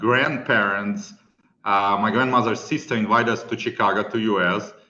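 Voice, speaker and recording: With ordinary pitch variation, a man talks in a bright, sharp tone while room echo is audible. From Ukraine, Kyiv. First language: Russian or Ukrainian. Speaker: property manager, business owner. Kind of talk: podcast interview.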